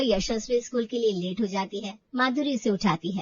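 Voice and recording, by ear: Fairly high in pitch, a woman speaks at a moderate pace with lively intonation and a slightly husky edge. The sound is dry and close with no echo.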